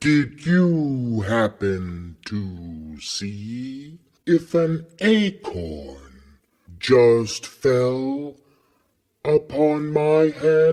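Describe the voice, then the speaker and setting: A man's put-on character voice at medium pitch and a very slow pace. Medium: read story. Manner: relaxed, genial.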